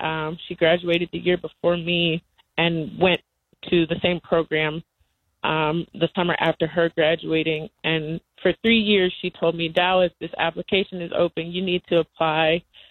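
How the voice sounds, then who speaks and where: A woman speaks at a moderate pace in an American accent, her pitch fairly low. She has an unremarkable speaking voice. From US South, North Carolina. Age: 20s. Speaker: cooperative organizer and farmer. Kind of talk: interview. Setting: phone call.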